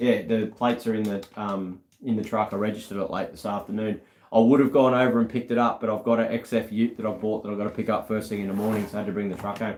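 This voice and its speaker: Very fast and monotone, a man with an Australian accent talks at a fairly low pitch with flat intonation. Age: 40s. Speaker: car restorer and YouTuber. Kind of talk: casual chat. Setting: live stream.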